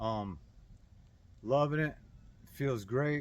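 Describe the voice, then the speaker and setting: This recording is very clean, its background silent. A man is talking. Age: 60s. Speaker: personal finance vlogger. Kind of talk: casual monologue. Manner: halting, many repeated words.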